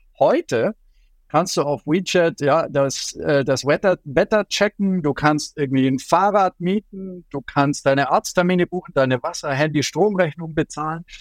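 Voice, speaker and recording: In a very clean recording with a silent background and a dry, close sound with no echo, a man speaks at a high pitch and a moderate pace with ordinary pitch variation. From Germany, Allgäu (Bavarian Swabia). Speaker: journalist and China expert. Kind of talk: interview. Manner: hesitant with frequent fillers.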